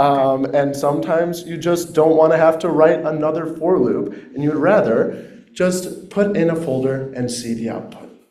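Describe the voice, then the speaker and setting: With hardly any pauses, a man speaks at a moderate pace in a fairly high pitch with ordinary pitch variation, over noticeable background noise. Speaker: workshop student presenter. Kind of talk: project presentation. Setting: in-person room with microphone, also on Zoom. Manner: loud.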